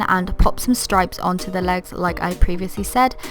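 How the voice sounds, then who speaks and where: Over background music, a woman talks at a fairly quick pace. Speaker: craft YouTuber. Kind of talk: craft tutorial voiceover. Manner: casual, chatty.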